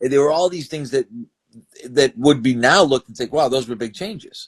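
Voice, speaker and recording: A man with a fairly high voice speaks at a fairly quick pace, showing ordinary pitch variation and big swings in loudness. It is an unremarkable speaking voice, with a dry, close sound and no echo. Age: 60s. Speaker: strength and conditioning coach. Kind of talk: interview. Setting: video interview on camera.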